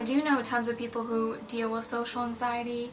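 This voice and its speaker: Music plays in the background while a woman speaks at a fairly high pitch and a moderate pace. Audible room echo is present. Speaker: mental health vlogger. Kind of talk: casual personal vlog talk.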